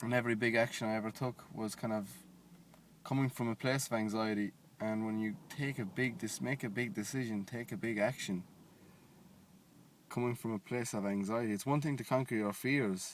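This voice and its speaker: Fairly quick speech with fairly even intonation comes through on a very clean recording with a silent background. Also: man, medium pitch for a man. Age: 20s. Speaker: vlogger. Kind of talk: casual monologue. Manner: halting.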